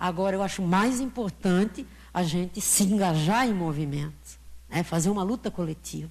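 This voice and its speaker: At a moderate pace, a somewhat breathy voice with ordinary pitch variation comes through on a very clean recording with a silent background. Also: woman, fairly low pitch for a woman. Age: 70s. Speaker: audience member. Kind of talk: audience question at a lecture Q&A.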